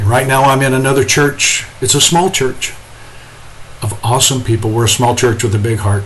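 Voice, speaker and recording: Over noticeable background noise, a man talks at a moderate pace, medium in pitch with ordinary pitch variation. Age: 60s. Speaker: pastor.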